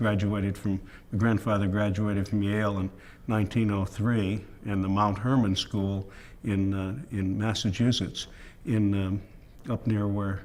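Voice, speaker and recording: Speaking in an American accent at a moderate pace, the voice stays monotone and flat. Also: man. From Connecticut, US. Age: 70s. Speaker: interviewee telling life story. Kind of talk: autobiographical interview. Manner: halting, many fillers.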